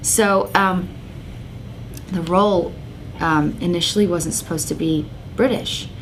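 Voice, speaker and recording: A woman with a fairly low pitch and fairly even intonation speaks at a fairly slow pace with long, frequent pauses, over noticeable background noise and audible room echo. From England. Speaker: soap opera actress. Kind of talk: interview. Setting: magazine office. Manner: hesitant, many fillers and repeats.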